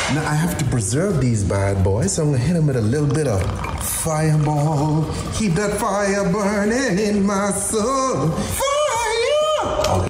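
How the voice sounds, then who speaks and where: The speech comes at a very slow pace with music in the background. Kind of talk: casual recipe demonstration. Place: kitchen.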